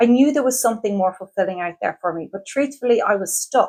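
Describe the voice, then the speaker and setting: A woman with an Irish accent speaks at a fairly quick pace in an enthusiastic tone. The recording is very clean, with a silent background. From Ireland. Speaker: career coach. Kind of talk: sales pitch.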